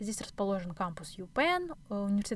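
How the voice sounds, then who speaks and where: A woman with an unremarkable speaking voice talks at medium pitch with lively intonation. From Kazakhstan, Astana. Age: 20s. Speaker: podcast host, doctoral student. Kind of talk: solo podcast monologue.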